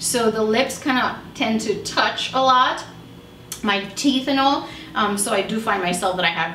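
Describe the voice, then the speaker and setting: Fairly slow speech comes through noticeable background noise and audible room echo. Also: woman. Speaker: beauty vlogger, makeup artist. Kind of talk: casual product review chat.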